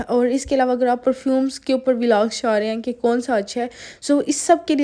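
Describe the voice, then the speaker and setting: A dark, mellow tone at a moderate pace, with monotone, flat intonation. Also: woman. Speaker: lifestyle vlogger. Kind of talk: vlog voiceover. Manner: conversational, many fillers.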